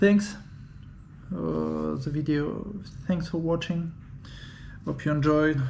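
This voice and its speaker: A man in a French accent at a very slow pace, with long, frequent pauses and audible room echo. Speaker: 3D printing hobbyist. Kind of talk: unboxing video. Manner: halting.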